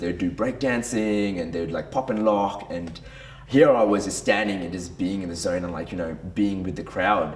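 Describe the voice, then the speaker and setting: A man with a very deep, low pitch speaks in an animated tone at a moderate pace, with noticeable background noise and audible room echo. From Brunei and Western Australia. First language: Tamil. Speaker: men's group leader. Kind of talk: personal testimony. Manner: casual, animated.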